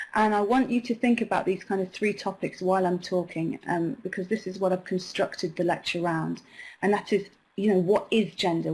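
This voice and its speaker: Somewhat breathy, a woman talks at a fairly quick pace in a medium pitch with fairly even intonation. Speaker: online course lecturer. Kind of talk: online lecture. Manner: fast.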